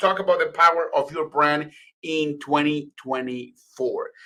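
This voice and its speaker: A man speaks with a Spanish accent. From Venezuela, then Florida from age ten. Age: 30s. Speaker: communications and PR expert. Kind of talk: presentation to live online audience.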